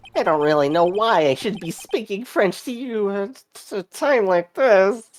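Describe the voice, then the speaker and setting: The pitch is fairly high. It comes in a put-on character voice. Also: moderate pace. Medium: game stream. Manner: mopey, hesitant, pathetic.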